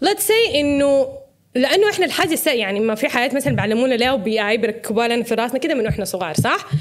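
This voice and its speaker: A woman speaks at a fairly quick pace. Her pitch swings very widely. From Sudan. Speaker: social media personality. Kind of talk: casual chat.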